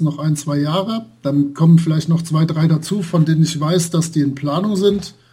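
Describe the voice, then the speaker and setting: A man speaks at a fairly high pitch in a dark, mellow tone. His intonation stays fairly even. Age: 40s. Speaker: role-playing game blogger and translator. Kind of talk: casual interview.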